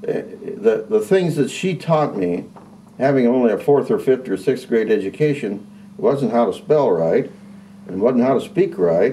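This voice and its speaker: With a US Midwestern accent, a man talks at a fairly high pitch, his voice making very wide pitch swings. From Indiana, Carroll County. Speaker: retired agriculture teacher. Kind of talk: interview. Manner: halting, frequent repetitions and fillers.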